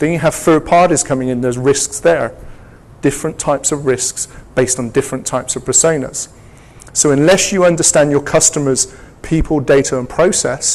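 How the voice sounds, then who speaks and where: A man with an English accent, fairly high-pitched, fairly quick, with fairly even intonation. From England. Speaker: security technology executive and speaker. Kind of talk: conference presentation. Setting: stage with audience. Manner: interactive, engaging audience.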